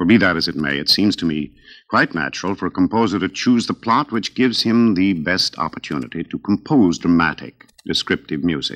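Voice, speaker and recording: A man speaks with a very deep, low pitch and lively intonation. His pace is fairly quick against a quiet background. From United States. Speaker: opera singer and radio host. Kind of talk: radio program hosting. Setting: radio broadcast. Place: studio. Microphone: old recording.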